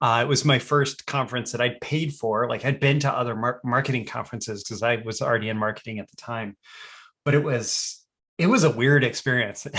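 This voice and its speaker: A man at medium pitch in an ordinary speaking voice, with a fairly quick pace and fairly even intonation. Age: 30s. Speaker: copywriter and podcast host. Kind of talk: casual chat.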